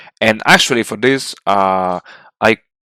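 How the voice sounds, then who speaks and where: The sound is dry and close with no echo as a man speaks at a fairly slow pace. His tone is bright and sharp, with ordinary pitch variation. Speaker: strategy game tutorial maker. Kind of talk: game tutorial narration. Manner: hesitant, many filler words.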